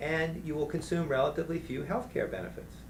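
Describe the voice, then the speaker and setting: A man speaks at a very fast pace. Room echo can be heard around his voice. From New Orleans, Louisiana. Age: 50s. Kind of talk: interview conversation. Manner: animated.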